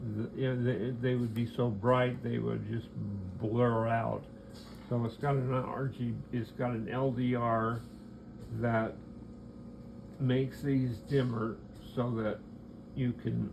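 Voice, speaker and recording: In a room with audible echo, a man speaks very slowly at medium pitch, flat and monotone, with long, frequent pauses. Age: 70s. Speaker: clock maker. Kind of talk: product demonstration. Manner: halting.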